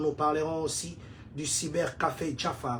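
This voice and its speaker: Audible room echo carries a man's somewhat breathy voice, pitched fairly high and moving at a fairly slow pace. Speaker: community leader and online show host. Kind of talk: livestream news talk. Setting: live stream.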